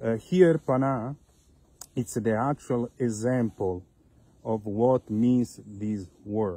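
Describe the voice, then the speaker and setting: With an Italian accent and a dark, mellow tone, a man speaks very slowly with long, frequent pauses and ordinary pitch variation, the sound dry with no echo. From Italy. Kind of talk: video appeal. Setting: outdoors in vineyards. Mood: earnest, appealing. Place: open country. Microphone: phone near.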